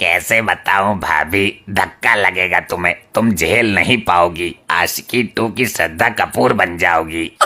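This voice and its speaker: In a cartoonish character voice, a man speaks very slowly at a very deep, low pitch with hardly any pauses. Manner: brash, gossipy.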